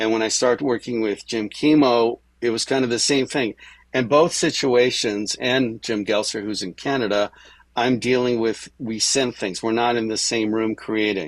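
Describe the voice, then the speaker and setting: This man has an ordinary speaking voice, medium in pitch, with fairly even intonation and a moderate pace. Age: 60s. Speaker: music producer and multi-instrumentalist. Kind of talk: interview.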